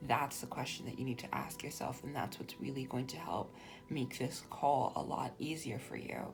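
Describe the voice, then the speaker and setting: The speaker whispers at a moderate pace. Background noise is noticeable. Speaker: tarot reader. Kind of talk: tarot reading.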